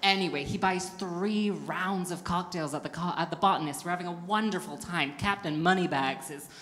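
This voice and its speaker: A woman with a plain, everyday voice speaks at a moderate pace with a fairly low pitch and fairly even intonation. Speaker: stand-up comedian. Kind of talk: stand-up comedy routine. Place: stage. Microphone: handheld.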